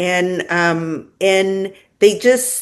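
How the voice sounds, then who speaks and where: Medium-pitched speech from a woman. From Tijuana, Mexico (border region). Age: 60s. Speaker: author and nonprofit leader. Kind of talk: interview.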